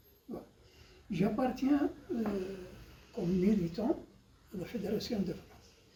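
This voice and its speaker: Over noticeable background noise, a high-pitched man speaks at a fairly slow pace with lively intonation, big swings in loudness and long, frequent pauses. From Algeria, Biskra region. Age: 80s+. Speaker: Algerian war veteran, former FLN militant. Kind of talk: interview answer.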